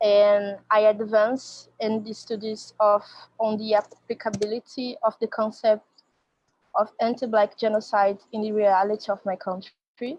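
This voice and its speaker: With a Brazilian Portuguese accent, a woman speaks fairly slowly at a fairly high pitch in a monotone, flat intonation, the sound dry and close with no echo. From Brazil, Rio de Janeiro. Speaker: activist and researcher. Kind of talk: academic presentation.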